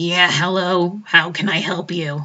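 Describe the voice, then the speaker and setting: A raspy put-on character voice from a woman, fairly low in pitch, at a fairly slow pace. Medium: actual play. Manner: casual, offhand.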